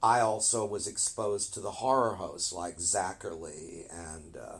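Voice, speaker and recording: A man's fairly low, somewhat breathy voice with an American accent, fairly slow pace and ordinary pitch variation. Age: 70s. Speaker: film historian. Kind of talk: interview.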